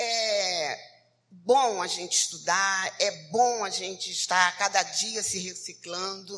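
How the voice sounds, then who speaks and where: A woman speaks with medium pitch. Her pace is very slow. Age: 60s. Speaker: social worker. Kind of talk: testimony. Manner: halting.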